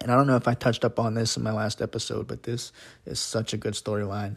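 Flat and monotone, a man's voice comes across as somewhat breathy. The recording is very clean, with a silent background. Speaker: wrestling podcast host. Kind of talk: solo podcast monologue. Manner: fast.

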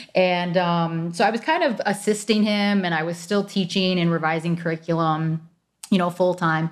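A woman with an American accent talks at a moderate pace in a plain, everyday voice. Her pitch is fairly low with ordinary variation. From Michigan, suburbs south of Detroit. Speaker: health insurance agent. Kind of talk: interview, explaining. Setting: remote recording.

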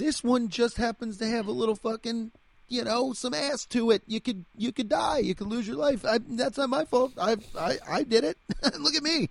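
A man uses a put-on character voice at an extremely high pitch. Vocal fry runs through it, with ordinary pitch variation. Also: moderate pace.

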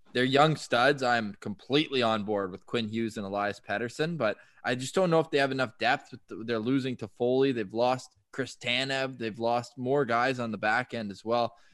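A man's medium-pitched, ordinary speaking voice with a Canadian accent, ordinary pitch variation, a moderate pace and hardly any pauses, over a quiet background. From Canada, Ottawa. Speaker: sports radio host. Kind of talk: casual chat.

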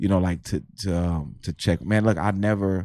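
A man's dark, mellow voice with fairly even intonation over a quiet background. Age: 40s. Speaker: stand-up comedian. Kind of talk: casual chat.

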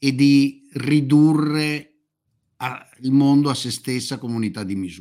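Here a man with a fairly high pitch speaks at a fairly slow pace. His tone is dark and mellow, with ordinary pitch variation. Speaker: commentator on China and geopolitics. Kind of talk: conversational interview. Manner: halting, self-interrupting. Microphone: audio cuts out when speaking quietly.

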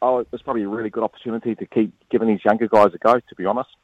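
A man with a New Zealand accent speaks in fairly even intonation, recorded with a dry, close sound and no echo. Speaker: former international cricketer. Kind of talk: casual chat.

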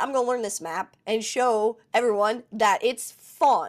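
A woman with an American accent speaks in an animated tone with ordinary pitch variation. The recording is very clean, and the background is silent. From West Virginia. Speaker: Twitch streamer. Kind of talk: casual chat.

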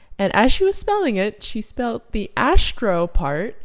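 A woman's animated tone at a fairly slow pace, with ordinary pitch variation. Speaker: podcast co-host. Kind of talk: casual chat. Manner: animated, joking.

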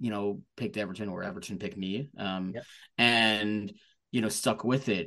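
A man with a plain, everyday voice talks at a moderate pace and a medium pitch against a quiet background. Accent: American. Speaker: football supporters club member. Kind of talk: casual chat.

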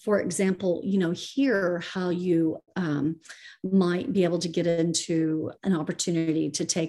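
At a fairly slow pace, a woman talks in an unremarkable speaking voice, fairly low in pitch with ordinary pitch variation. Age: 50s. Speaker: real estate investor. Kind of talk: interview.

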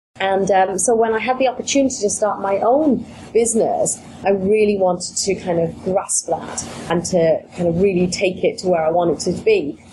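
With noticeable background noise, a woman talks in a British accent. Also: medium pitch for a woman, ordinary pitch variation, moderate pace. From UK. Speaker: business coach. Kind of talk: interview, business podcast.

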